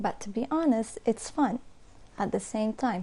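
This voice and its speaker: Her dark, mellow voice is somewhat breathy and fairly high in pitch for a woman. She speaks at a moderate pace with ordinary pitch variation. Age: 20s. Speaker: primary school English teacher and content creator. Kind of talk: interview. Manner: hesitant.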